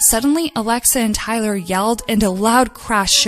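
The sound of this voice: The recording features an unforced reading voice.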